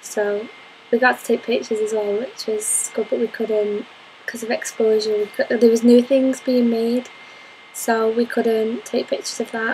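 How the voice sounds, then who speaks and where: A woman speaks at a moderate pace in a fairly high, monotone voice with flat intonation. Noticeable background noise runs underneath. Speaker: university course applicant. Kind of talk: application interview to camera.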